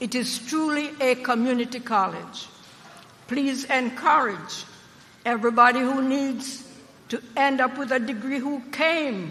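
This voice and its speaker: Over noticeable background noise, someone speaks with an American accent at a fairly slow pace. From Jamaica. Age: old. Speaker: university trustee, former politician. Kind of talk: commencement speech. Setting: stage with audience. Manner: animated.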